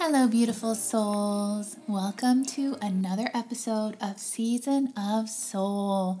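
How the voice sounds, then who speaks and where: Here a woman speaks very slowly with hardly any pauses, her voice fairly high and somewhat breathy. Her intonation is fairly even. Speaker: podcast host. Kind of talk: scripted intro.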